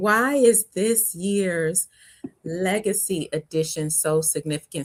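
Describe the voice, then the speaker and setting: A woman speaks at a very slow pace, her sound dry and close with no echo. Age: 50s. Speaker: conference founder and faith speaker. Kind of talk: interview. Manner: animated.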